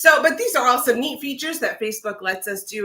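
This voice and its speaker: A woman speaks at a fairly quick pace with lively intonation over noticeable background noise. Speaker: viola teacher. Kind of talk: livestream tutorial. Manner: hesitant, many fillers; fast.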